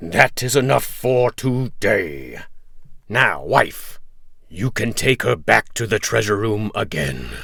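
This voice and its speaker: A man puts on a raspy character voice, speaking at a fairly slow pace with fairly low pitch. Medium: read story. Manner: loud, bawling.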